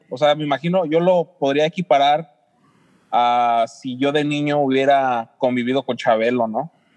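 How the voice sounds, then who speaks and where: Here a man has a plain, everyday voice with a fairly high pitch. He speaks at a fairly slow pace with fairly even intonation. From San Luis Potosí, Mexico. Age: 40s. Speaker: podcast co-host. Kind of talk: casual interview chat.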